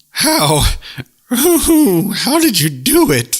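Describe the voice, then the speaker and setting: This man uses a put-on character voice at an extremely high pitch. His pitch swings very widely. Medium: read story. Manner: mournful, hooting, breathless.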